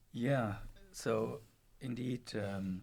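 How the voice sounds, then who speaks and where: A man with a German accent and vocal fry. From Germany. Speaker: professor. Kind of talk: interview. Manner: hesitant, with fillers.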